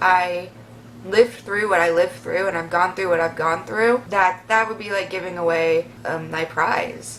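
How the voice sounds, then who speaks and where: With noticeable background noise behind her, a woman of medium pitch speaks at a fairly slow pace with ordinary pitch variation. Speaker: vlogger. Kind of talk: Q&A vlog. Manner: animated.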